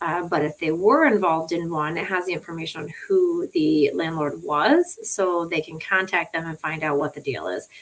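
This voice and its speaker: A woman speaks with hardly any pauses, in a fairly low pitch and fairly even intonation. Her loudness swings a lot, and there is noticeable background noise. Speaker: attorney. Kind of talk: live stream tutorial. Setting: live stream from laptop. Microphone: laptop audio, no sound at start.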